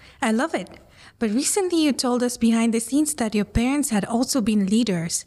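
On a very clean recording with a silent background, a woman with a Spanish accent speaks at a fairly quick pace in a dark, mellow tone, her fairly high pitch carried by lively intonation at very even loudness. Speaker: interviewer, communications professional. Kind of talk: interview. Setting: on location.

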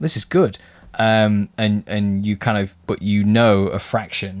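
In a very clean recording with a silent background, a man with an English accent speaks in a croaky, fairly low voice. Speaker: miniature painting podcast co-host. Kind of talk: casual chat. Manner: hesitant, many fillers.

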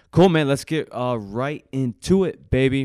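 A plain, everyday voice from a man at a moderate pace with ordinary pitch variation, dry and close with no echo, on a very clean recording with a silent background. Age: 20s. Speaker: personal trainer and podcast co-host. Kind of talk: casual chat. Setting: live podcast.

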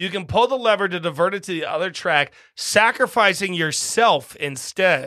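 A man with a high pitch uses a raised, projected voice at a moderate pace, his tone animated and also bright and sharp. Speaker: podcast host. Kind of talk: casual chat.

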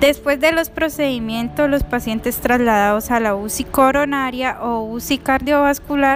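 Noticeable background noise surrounds a woman's high-pitched voice. She speaks at a fairly slow pace with fairly even intonation. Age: 20s. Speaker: nursing assistant. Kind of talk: prepared narration of a case.

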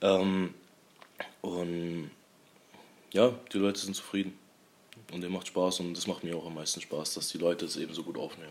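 Over noticeable background noise, a man speaks at very deep, low pitch with fairly even intonation. His speech has long, frequent pauses. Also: moderate pace. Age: 20s. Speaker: young restaurant owner. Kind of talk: casual interview. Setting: in his restaurant, over a meal.

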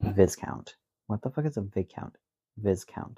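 A man speaks in a dark, mellow, somewhat breathy tone at a fairly slow pace. The sound is dry and close, with no echo. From rural area. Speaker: podcast co-host. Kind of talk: casual chat. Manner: animated.

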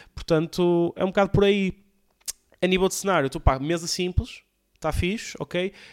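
Pausing long and often, a man with a high voice talks at a moderate pace with fairly even intonation, the sound dry and close with no echo on a very clean recording with a silent background. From Portugal, Porto area (Alfena). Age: young. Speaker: comedian and podcast host. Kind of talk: casual solo podcast monologue. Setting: home recording with camera and PC. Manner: casual, slangy, halting with fillers.

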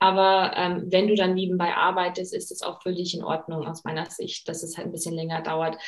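Over noticeable background noise, a woman with a fairly low pitch speaks at a fairly quick pace with hardly any pauses and monotone, flat intonation. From USA. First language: English (speaking German). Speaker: career coach and master's student. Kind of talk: interview.

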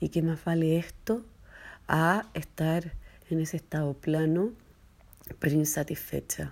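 A woman with a very deep, low pitch speaks at a fairly slow pace. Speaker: entrepreneur and mother. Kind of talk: personal voice message. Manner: hesitant, many fillers.

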